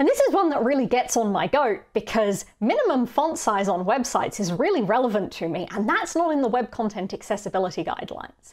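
Against a quiet background, a woman talks at a fairly quick pace with hardly any pauses. Her fairly high pitch moves in very wide swings. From Australia. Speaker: conference speaker on accessibility. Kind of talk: recorded conference talk. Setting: pre-recorded video for an online conference. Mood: engaged, mildly exasperated. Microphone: webcam.

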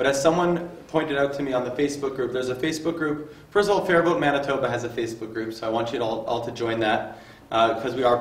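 A man's voice with audible room echo. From Canada. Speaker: workshop moderator. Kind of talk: public talk. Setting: public workshop with audience. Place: hall.

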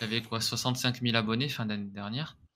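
Bright and sharp in tone, a man's medium-pitched voice comes at a moderate pace. Light background noise can be heard. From France, Grenoble area; France. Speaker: content creator; podcast guest, content creator. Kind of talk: interview. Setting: remote recording. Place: home room. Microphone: studio mic.

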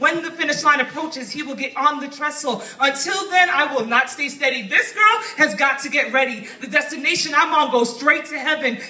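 A woman with a high voice talks at a fairly quick clip in a raised, projected voice, her loudness swinging widely and hardly any pauses breaking her speech. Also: ordinary pitch variation. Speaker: poet. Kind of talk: spoken word poetry performance. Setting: open mic stage with audience. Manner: fast. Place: shop. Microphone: handheld.

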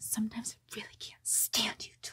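A woman whispers, keeping her pace moderate. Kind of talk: acted role-play monologue. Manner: soft-spoken, contemptuous, close to the mic. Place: home room. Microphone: phone near.

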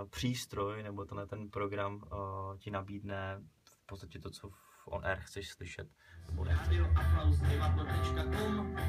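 Faint music plays in the background as a man talks at a fairly slow pace in a fairly low pitch with fairly even intonation. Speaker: student radio presenter. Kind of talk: radio presenter on-air talk. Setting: radio studio. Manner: casual, friendly. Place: studio.

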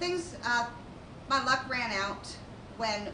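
Noticeable background noise accompanies a woman's speech. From Baltimore. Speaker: Coast Guard veteran. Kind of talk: staged testimony. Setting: stage with audience. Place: stage.

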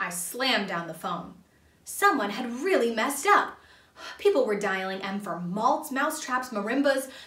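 What you hear is a natural reading voice.

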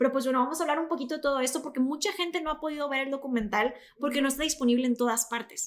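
A woman with a high-pitched voice talks at a very fast pace, her pitch varying in an ordinary way. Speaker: podcast host. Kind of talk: podcast discussion intro. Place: studio. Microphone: studio mic.

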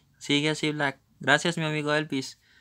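A man speaks with a fairly high pitch and a bright, sharp tone. The recording is very clean, with a silent background. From Colombia. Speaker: gaming streamer. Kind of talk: live gameplay commentary. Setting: live stream.

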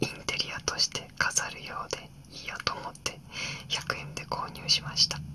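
Someone whispers, soft-spoken, over light background noise. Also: moderate pace. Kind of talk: quiet calm vlog narration. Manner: soft ASMR whisper. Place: home room.

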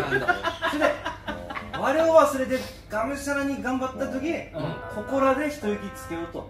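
A man with a strong Akita accent talks at an extremely high pitch with ordinary pitch variation and a moderate pace. Clear music plays in the background. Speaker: mushroom farmer host. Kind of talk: casual debate talk. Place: kitchen.

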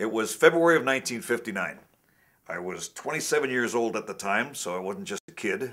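Over a quiet background, a man at medium pitch uses a bright, sharp tone with very wide pitch swings at a fairly slow pace. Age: 70s. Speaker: karate grandmaster. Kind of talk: technique demonstration; interview storytelling. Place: studio.

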